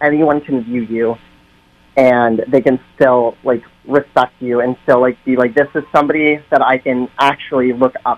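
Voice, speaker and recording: A man with an American accent at a medium pitch, flat and monotone at a moderate pace, with music in the background. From central Massachusetts, US. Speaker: drag performer. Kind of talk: radio interview debate. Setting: phone call.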